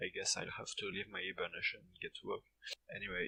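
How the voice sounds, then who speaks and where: A man with a French accent at a fairly quick pace. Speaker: gaming YouTuber. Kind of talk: scripted commentary rant.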